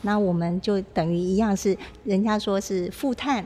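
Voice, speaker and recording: This woman has a plain, everyday voice, medium in pitch, with fairly even intonation. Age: young. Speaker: arts foundation chairwoman. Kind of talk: interview. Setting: on location, outside the studio.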